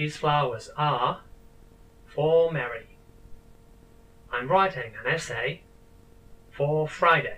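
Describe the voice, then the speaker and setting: Pausing long and often, a man speaks at a very slow pace with a fairly high pitch and ordinary pitch variation. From Spain, Catalonia region. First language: Spanish. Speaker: language teacher. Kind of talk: tutorial. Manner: clear, deliberate teaching pace.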